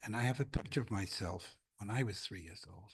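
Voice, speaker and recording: Pitch varies in an ordinary way across a somewhat breathy voice. The delivery comes at a moderate pace. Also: man. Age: 80s+. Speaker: congregant sharing a memory. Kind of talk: testimony. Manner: halting.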